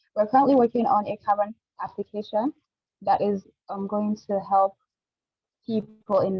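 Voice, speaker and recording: At a medium pitch and a fairly quick pace, a woman talks in a somewhat breathy, monotone, flat way. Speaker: startup founder. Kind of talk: startup pitch. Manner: fast.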